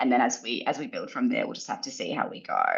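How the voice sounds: A woman's extremely low voice, fast and lively in intonation, with vocal fry.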